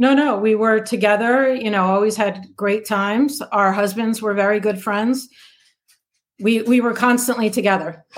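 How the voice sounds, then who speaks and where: A woman with an unremarkable speaking voice talks fairly high in pitch, at a moderate pace, her intonation fairly even. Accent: American. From New Jersey. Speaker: interview guest, ex-friend of a reality TV cast member. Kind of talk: casual interview chat.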